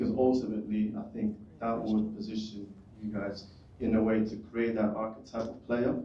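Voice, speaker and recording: In a room with audible echo, a man speaks at a moderate pace and medium pitch, his intonation monotone and flat while his loudness swings widely. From United Kingdom. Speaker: audience member asking question. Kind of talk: audience question.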